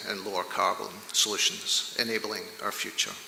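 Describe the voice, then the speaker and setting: With audible room echo and noticeable background noise, a man speaks at a fairly quick pace. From Scotland, Glasgow. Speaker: oil industry executive, conference speaker. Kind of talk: conference presentation. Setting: stage with large audience. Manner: somewhat halting, with fillers.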